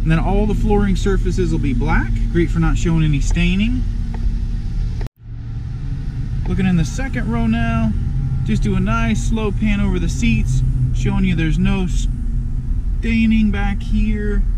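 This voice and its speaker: Loud background noise behind a fairly slow delivery with long, frequent pauses and a dry sound with no echo. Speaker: car salesperson. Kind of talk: vehicle walkaround commentary. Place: car. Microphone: phone near.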